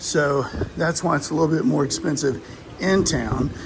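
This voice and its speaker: Amid noticeable background noise, a man with a Texas accent talks at a fairly slow pace in a fairly high pitch. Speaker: travel vlogger. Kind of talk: walking tour review. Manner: casual, halting with fillers.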